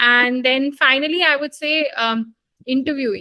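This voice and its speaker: A woman with an Indian accent speaks at a high pitch with ordinary pitch variation and a bright, sharp tone. The sound is dry and close, with no echo. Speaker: doctor, medical graduate. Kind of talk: interview. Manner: hesitant fillers.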